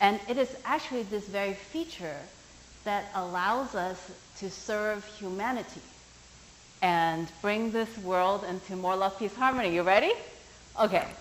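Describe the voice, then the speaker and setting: Speaking fairly slowly with long, frequent pauses, a woman with a non-native accent uses a medium pitch and ordinary pitch variation. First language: not English. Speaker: workshop teacher. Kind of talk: workshop talk. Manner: animated.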